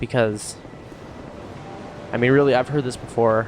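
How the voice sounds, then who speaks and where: A man's medium-pitched speech, with ordinary pitch variation, is heard with noticeable background noise. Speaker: gaming youtuber. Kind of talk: gameplay commentary. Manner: fast; casual, filler-heavy.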